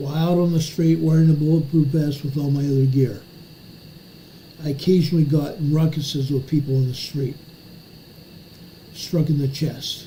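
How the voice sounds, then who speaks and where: With audible room echo, a man at a fairly high pitch speaks in a monotone, flat intonation broken by long, frequent pauses. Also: moderate pace. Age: 60s. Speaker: emergency news commentator, retired police officer. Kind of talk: live stream commentary. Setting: home office live stream. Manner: casual.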